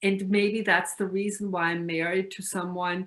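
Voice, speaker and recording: Her pace is fairly slow. The woman talks with a German accent. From Austria. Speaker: retired university staff and spiritual lecturer. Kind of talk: interview. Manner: halting, many fillers.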